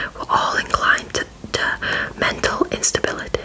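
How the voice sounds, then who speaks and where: A woman whispers. Noticeable background noise can be heard behind her. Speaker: ASMR creator / story reader. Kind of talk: whispered audiobook-style story reading. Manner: whispered, soft, slow.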